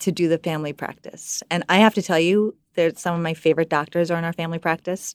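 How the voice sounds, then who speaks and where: A woman talks at a very fast pace in a flat monotone at a fairly low pitch, recorded very cleanly against a silent background with a dry, close sound and no echo. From US (moved from Iran as a child, Nebraska and Midwest). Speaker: hospital community relations manager. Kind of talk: casual radio interview.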